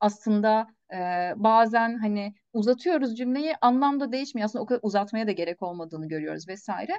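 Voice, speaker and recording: Against a quiet background, a woman with an ordinary speaking voice talks at a fairly quick pace, using a fairly high pitch and lively intonation. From Turkey. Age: 30s. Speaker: research assistant in interior architecture; guest. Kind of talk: interview. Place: home room. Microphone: video call.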